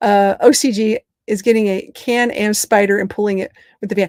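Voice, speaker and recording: Recorded dry and close with no echo, a woman talks in an animated tone with a slight Southern US accent. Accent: slight Southern drawl, stronger when relaxed. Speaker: travel vlogger living on the road in an RV. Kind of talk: live stream chat with viewers. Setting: inside a camper van on the road. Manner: fast.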